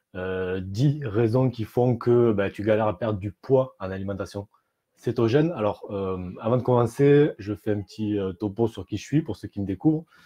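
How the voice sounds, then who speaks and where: Against a quiet background, with a dry, close sound and no echo, a man speaks at a moderate pace in a fairly low voice with a dark, mellow tone and ordinary pitch variation. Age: 30s. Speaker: keto diet coach. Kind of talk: live stream talk. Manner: hesitant, many fillers.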